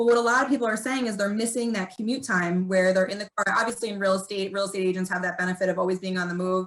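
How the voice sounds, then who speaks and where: A woman of medium pitch talks very fast, with hardly any pauses. She has a slight New Jersey accent and fairly even intonation. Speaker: corporate PR executive. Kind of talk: casual chat. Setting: video call.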